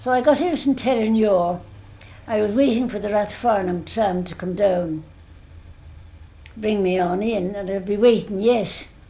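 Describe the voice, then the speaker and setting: With long, frequent pauses, a woman speaks at medium pitch amid audible room echo. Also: ordinary pitch variation, moderate pace. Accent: Dublin. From Ireland, Dublin. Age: 80s+. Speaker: elderly eyewitness. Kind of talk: oral history interview.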